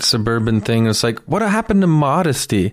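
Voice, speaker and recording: A man with a Canadian accent has an ordinary speaking voice at a medium pitch. He talks at a moderate pace in a very clean recording with a silent background. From Canada, Toronto (Etobicoke). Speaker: comedian. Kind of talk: casual chat.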